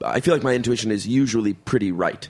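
A man speaks in a normal speaking voice. His pitch varies by an ordinary amount. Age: 30s. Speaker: podcast co-host and actor. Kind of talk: casual chat.

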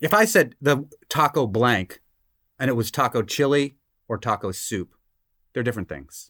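A man with an American accent at medium pitch, bright and sharp in tone, with lively intonation, a moderate pace and long, frequent pauses, in a very clean recording with a silent background and a dry, close sound with no echo. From Massachusetts. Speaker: guest bailiff. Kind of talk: casual chat, comedic banter.

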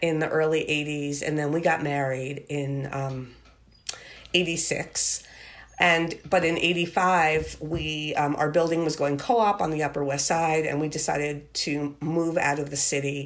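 A woman's very deep, low voice with an American accent, at a fairly slow pace, with audible room echo. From Long Island, New York. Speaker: teacher and writer. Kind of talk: interview. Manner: halting.

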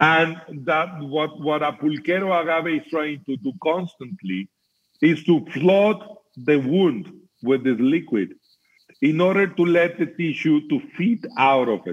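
A man talks in a plain, everyday voice at a fairly high pitch. He keeps a fairly slow pace with ordinary pitch variation. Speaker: mezcal producer and scientist. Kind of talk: interview explanation.

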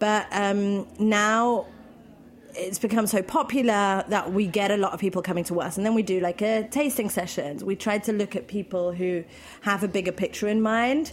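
A woman with a British accent talks at a moderate pace, her medium pitch rising and falling in an ordinary way. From London, England. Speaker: food event founder. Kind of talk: casual interview chat.

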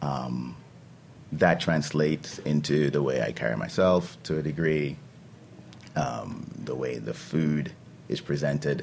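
Pausing long and often, a man speaks with a very deep, low pitch and ordinary pitch variation. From St. Vincent and the Grenadines. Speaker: chef and restaurant owner. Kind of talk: interview. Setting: studio.

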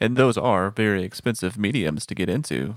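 Lively in intonation and fairly quick, a man with a plain, everyday voice and a fairly low pitch speaks in a very clean recording with a silent background. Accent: American. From Texas. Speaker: audio producer. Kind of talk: casual chat.

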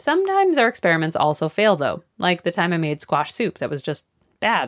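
A woman speaks at a fairly quick pace with very wide pitch swings. The sound is dry and close without echo, in a very clean recording with a silent background. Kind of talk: scripted narration.

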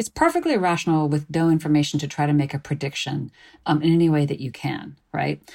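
A speaker with an American accent talks at a very fast pace in a dark, mellow tone, with fairly even intonation. The recording is very clean, with a silent background. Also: woman, very deep, low pitch for a woman. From US Midwest, Chicago suburbs. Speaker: philosophy professor. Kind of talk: interview conversation.

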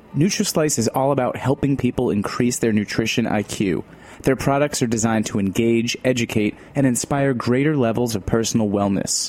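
Over noticeable background noise, a man at a medium pitch talks at a moderate pace with hardly any pauses, ordinary pitch variation and very even loudness. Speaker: announcer. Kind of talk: scripted narration.

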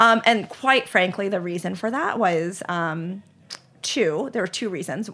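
On a very clean recording with a silent background, a woman with an American accent speaks at a fairly slow pace, her medium-pitched voice bright and sharp in tone with lively intonation. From US South, Charlotte, North Carolina. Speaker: ice cream company founder. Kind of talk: interview.

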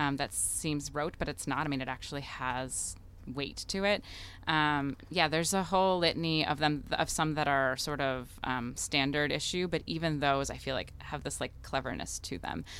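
A woman with an American accent talks at a moderate pace with ordinary pitch variation. Her pitch is very deep and low, with vocal fry. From US Midwest, Chicago. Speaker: chef and restaurant owner. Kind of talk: casual interview. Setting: live event broadcast.

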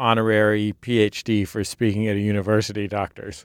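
The recording is very clean, with a silent background and a dry, close sound with no echo. A man with an unremarkable speaking voice talks at a medium pitch and a moderate pace. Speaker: podcast co-host and bailiff. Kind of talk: scripted show introduction. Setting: studio.

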